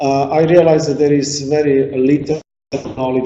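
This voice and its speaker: With audible room echo around him, a man speaks in monotone, flat intonation. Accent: Slovak. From Slovakia. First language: Slovak. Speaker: artist and sculptor. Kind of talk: lecture. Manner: halting.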